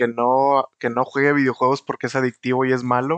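Against a quiet background, a man with a Mexican accent talks at a moderate pace and medium pitch, the sound dry and close with no echo. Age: 20s. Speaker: podcast host. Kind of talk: casual chat.

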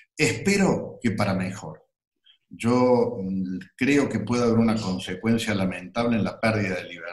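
A man of medium pitch with ordinary pitch variation, at a fairly slow pace, with audible room echo. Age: 60s. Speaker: entrepreneur and university founder. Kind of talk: interview. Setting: video call. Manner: halting.

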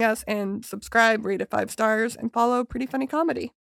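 An unremarkable speaking voice moves at a fairly quick pace with ordinary pitch variation. The sound is dry and close, with no echo. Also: woman. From Calgary, Canada. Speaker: podcast host and stand-up comedian. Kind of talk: casual chat. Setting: studio.

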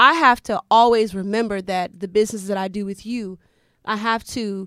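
Heard on a very clean recording with a silent background, the voice has a bright, sharp tone, ordinary pitch variation and a moderate pace. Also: woman. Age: 40s. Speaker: podcast co-host. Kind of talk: casual chat.

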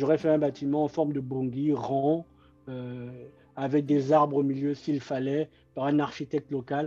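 Speaking fairly slowly, a man delivers his words in a dark, mellow tone with flat, monotone intonation. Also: fairly high pitch for a man. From Republic of the Congo, Brazzaville. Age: 30s. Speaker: political activist, former presidential candidate. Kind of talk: interview.

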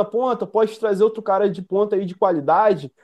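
A dark, mellow tone moves at a fairly quick pace against a quiet background. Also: man. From Brazil, northern Rio de Janeiro state (Campos dos Goytacazes). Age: 20s. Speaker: football fan commentator, youtuber. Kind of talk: casual chat.

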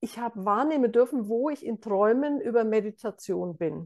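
Against a quiet background, a woman with an ordinary speaking voice talks at a fairly high pitch with lively intonation. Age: 60s. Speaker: meditation teacher. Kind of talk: interview.

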